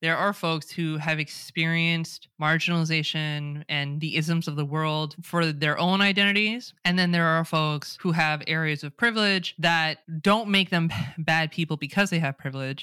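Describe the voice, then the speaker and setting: With a Californian accent, a woman speaks at a moderate pace with hardly any pauses, in a bright, sharp tone. Her pitch is fairly low with fairly even intonation, on a very clean recording with a silent background. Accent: Californian American. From California, US. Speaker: DEI expert. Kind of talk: casual interview conversation.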